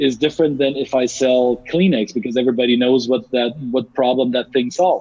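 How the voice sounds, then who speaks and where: A man's voice at a medium pitch. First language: not English. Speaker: cross-cultural business consultant. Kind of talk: interview. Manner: halting, many repetitions.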